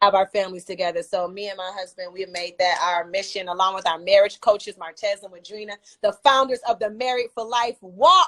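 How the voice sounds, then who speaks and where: An ordinary speaking voice moves at a fairly quick pace with hardly any pauses and ordinary pitch variation. Loudness swings widely, and the sound is dry and close with no echo. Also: woman, medium pitch for a woman. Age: 40s. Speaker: singer. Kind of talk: interview.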